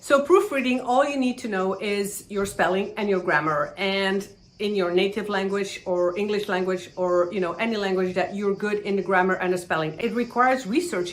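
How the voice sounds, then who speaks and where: A woman with a non-native accent talks at a fairly quick pace and medium pitch. Background noise is noticeable. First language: not English. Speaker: online business YouTuber. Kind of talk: tutorial.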